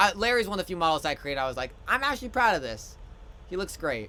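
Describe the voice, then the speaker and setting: Loud and lively in intonation, a man speaks with a bright, sharp tone. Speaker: streamer and hobby game developer. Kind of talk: live stream tutorial-style showcase. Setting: live stream from home. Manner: casual, halting with many fillers.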